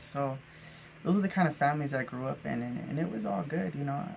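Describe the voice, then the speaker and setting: Noticeable background noise sits behind a man speaking at a fairly quick pace with an American accent. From Arizona, US Southwest. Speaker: vlogger. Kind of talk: personal storytelling monologue. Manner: casual with many fillers and restarts.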